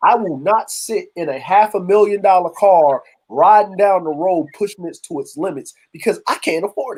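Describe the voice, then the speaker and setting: A man speaks with a Baltimore accent at a high pitch. His pace is moderate and his pitch varies in an ordinary way. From Baltimore, US. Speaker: livestream panelist. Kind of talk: casual chat. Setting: livestream.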